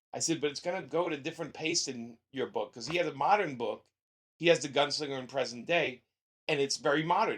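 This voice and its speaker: A man with a strong Brooklyn accent speaks at a fairly quick pace, with a fairly high pitch and ordinary pitch variation. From Brooklyn, New York. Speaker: comic book writer. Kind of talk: interview. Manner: rough-sounding.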